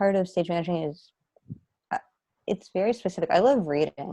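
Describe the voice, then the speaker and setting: Her tone is dark and mellow, with lively intonation. The woman speaks with an American accent. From Long Island, New York. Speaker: stage manager. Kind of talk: casual chat. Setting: video call.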